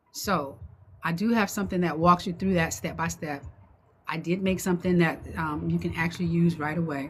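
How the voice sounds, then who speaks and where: A woman's fairly low, somewhat breathy voice at a fairly quick pace with fairly even intonation. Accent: American. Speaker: online business coach. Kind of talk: livestream talk to viewers. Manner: fast; halting, many fillers and repeats.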